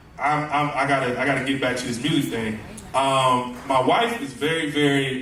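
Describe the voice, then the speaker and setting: Noticeable background noise and audible room echo fill the recording. A man talks at a moderate pace in a fairly high voice with fairly even intonation. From US South, Tallahassee, Florida. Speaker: music producer, book festival guest. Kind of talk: interview, personal story. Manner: casual, many fillers and repetitions.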